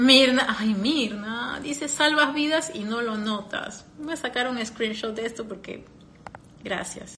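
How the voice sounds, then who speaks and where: A woman speaks very slowly in a fairly high voice with ordinary pitch variation. Audible room echo surrounds her. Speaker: podcaster and personal growth coach. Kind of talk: live stream talk. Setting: live stream.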